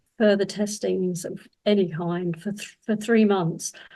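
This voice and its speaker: A woman speaks with a southern English accent and a dark, mellow tone. Her voice is somewhat breathy, with fairly even intonation. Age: 70s. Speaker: cancer survivor and women's health advocate. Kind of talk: personal testimony. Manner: hesitant, with fillers.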